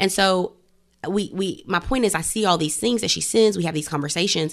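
Speaking very fast with vocal fry, a woman is heard on a very clean recording with a silent background. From US South, Greenville, South Carolina. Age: 20s. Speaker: podcast host. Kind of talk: casual chat.

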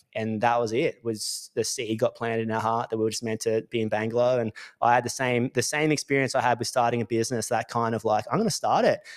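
In a very clean recording with a silent background, a man with an Australian accent talks at a fairly quick pace and medium pitch. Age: 30s. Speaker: electrical business coach. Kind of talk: casual monologue. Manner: animated.

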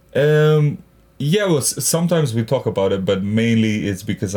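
A man with a Macedonian accent, dark and mellow in tone, at a moderate pace with lively intonation. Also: very clean recording, silent background. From North Macedonia. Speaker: stand-up comedian and actor. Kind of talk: casual interview chat.

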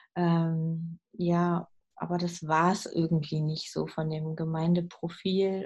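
A woman's somewhat breathy voice at a fairly low pitch. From southern Lower Saxony, Germany. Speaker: hospital chaplain and pastor. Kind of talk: interview conversation. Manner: hesitant with frequent fillers.

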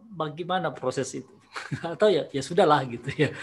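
Very fast delivery from a man, his pitch varying in an ordinary way. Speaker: teacher and podcast host. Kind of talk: casual chat. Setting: video call. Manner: halting, many fillers.

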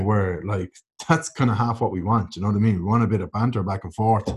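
A man in an Irish accent talks fairly quickly at a medium pitch, sounding somewhat breathy on a very clean recording with a silent background. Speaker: podcast co-host, online content creator. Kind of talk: casual chat.

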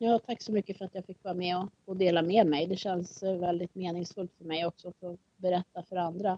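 The dry, close recording with no echo captures a woman speaking at a fairly quick pace in a dark, mellow tone with monotone, flat intonation. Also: medium pitch for a woman, big swings in loudness. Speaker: single parent. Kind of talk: casual chat. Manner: halting.

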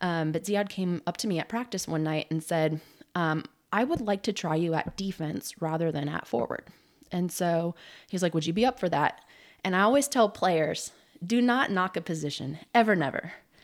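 With an American accent, a woman uses a normal speaking voice at a fairly low pitch, with lively intonation and a moderate pace, on a very clean recording with a silent background. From Southern California. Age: 30s. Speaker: semi-pro soccer player. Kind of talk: casual interview. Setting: at her house.

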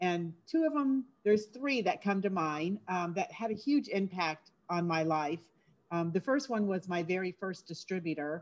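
This woman has an unremarkable speaking voice at medium pitch. Her pace is moderate and her intonation lively. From Florida. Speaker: direct sales leader. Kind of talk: casual interview.

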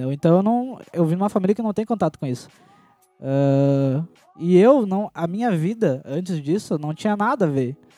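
A high-pitched man's voice, dark and mellow in tone, with lively intonation at a moderate pace. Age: 20s. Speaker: dancer. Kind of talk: casual chat.

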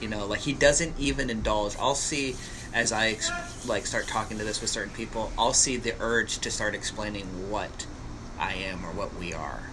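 Speaking at a moderate pace, a man with medium pitch and ordinary pitch variation is heard against noticeable background noise. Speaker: podcast host. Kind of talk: casual conversational interview. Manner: relaxed, conversational.

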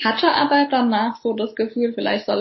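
Fairly high in pitch, a woman speaks at a fairly quick pace with fairly even intonation. Noticeable background noise runs underneath. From Germany, Palatinate (Kaiserslautern). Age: 30s. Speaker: physiotherapist. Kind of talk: interview. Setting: video call.

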